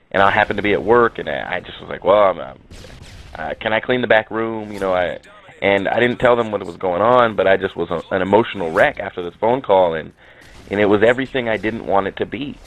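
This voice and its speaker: Very fast speech with ordinary pitch variation and big swings in loudness, over noticeable background noise. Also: man, fairly low pitch for a man. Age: 30s. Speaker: gaming commentator. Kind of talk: personal video commentary. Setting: in a car. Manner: halting. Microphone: poor audio.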